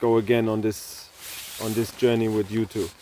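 With a German accent, a man talks at a moderate pace in a medium pitch, his tone dark and mellow, the sound dry and close with no echo. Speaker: podcast host, round-the-world cyclist. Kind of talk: casual chat. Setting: outdoors at a tent camp.

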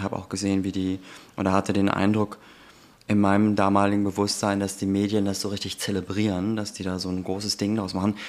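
Speech from a man comes at a very fast pace. The voice sits fairly low. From Germany, Turkish family. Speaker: anti-racism trainer and podcast co-host. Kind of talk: casual chat.

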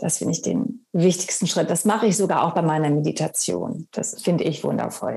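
A normal speaking voice, fairly quick and with hardly any pauses, with lively intonation. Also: woman, fairly low pitch for a woman. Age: 50s. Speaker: actress and author. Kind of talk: interview.

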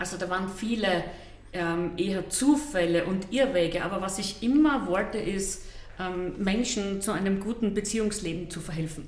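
A woman speaks at a moderate pace with ordinary pitch variation. There is audible room echo and noticeable background noise. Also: medium pitch for a woman. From Austria, eastern Styria. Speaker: psychotherapist and TV relationship expert. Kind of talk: interview.

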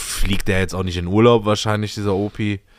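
A man speaks in a monotone, with flat intonation. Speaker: podcast co-host. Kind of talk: casual chat.

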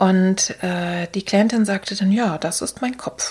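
A woman's somewhat breathy voice at medium pitch, at a very slow pace. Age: 60s. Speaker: art therapist and podcast host. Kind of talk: solo podcast talk.

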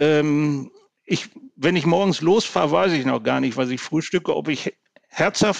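A man's normal speaking voice, fairly high in pitch, with lively intonation at a moderate pace, dry and close with no echo. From Ruhr area, Gelsenkirchen (Germany). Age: 60s. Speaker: public administration manager and workplace safety expert. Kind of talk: podcast interview.

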